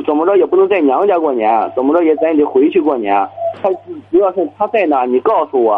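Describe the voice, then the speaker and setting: A high-pitched man at a very fast pace. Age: 30s. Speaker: small business owner, caller. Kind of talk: phone-in call. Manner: hesitant, filler-heavy.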